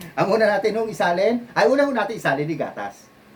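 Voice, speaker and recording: Noticeable background noise sits behind a man with a high pitch. He speaks at a fairly quick pace in an animated tone. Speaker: bartender and video host. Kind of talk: casual video tutorial.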